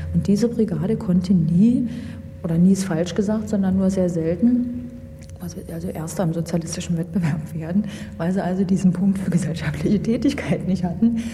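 A woman with a fairly low pitch and ordinary pitch variation speaks at a moderate pace, with audible room echo and noticeable background noise. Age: 20s. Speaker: former judge. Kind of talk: interview. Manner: halting.

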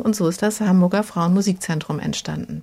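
It is an unremarkable speaking voice. The delivery moves at a moderate pace. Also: woman. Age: 50s. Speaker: women's project founder. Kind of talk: interview.

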